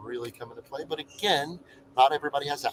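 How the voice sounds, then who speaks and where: A soft-spoken man talks with fairly even intonation. The sound is dry and close, with no echo. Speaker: travel vlogger. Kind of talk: live stream chat. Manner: monotone.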